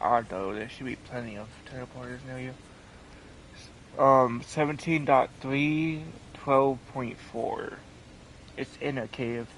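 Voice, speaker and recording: Speaking at a fairly slow pace with long, frequent pauses, a man at medium pitch keeps his intonation fairly even while his loudness swings widely over noticeable background noise. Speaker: gaming streamer. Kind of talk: live gameplay stream chat. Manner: stutters; halting.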